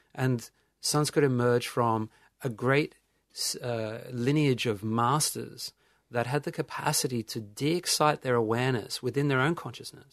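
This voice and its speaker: With an Australian accent, a man speaks at a medium pitch and moderate pace, his intonation fairly even, over a quiet background. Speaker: meditation teacher. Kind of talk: casual chat.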